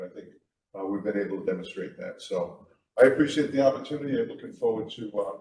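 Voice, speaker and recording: In an American accent, a man speaks at medium pitch with a dark, mellow tone, a somewhat breathy quality and ordinary pitch variation. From Middletown, Rhode Island, US. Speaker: town council candidate. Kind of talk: candidate forum statement. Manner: halting, many fillers.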